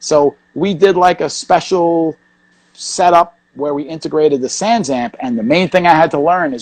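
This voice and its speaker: In a New York accent, a man with a fairly high pitch speaks with big swings in loudness, and the sound is dry and close with no echo. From New York, Queens. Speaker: hardcore punk bassist. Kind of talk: casual interview. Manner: fast.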